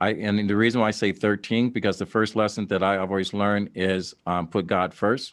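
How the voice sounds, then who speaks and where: A man with an American accent speaks at a fairly quick pace in a fairly low, monotone voice, with flat intonation, very even loudness and hardly any pauses. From Dayton, Ohio. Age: 60s. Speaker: podcast host. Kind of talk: interview.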